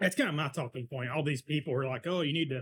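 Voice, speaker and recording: Somewhat breathy, a man speaks. He has an American accent. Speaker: podcast co-host. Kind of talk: casual chat over beers.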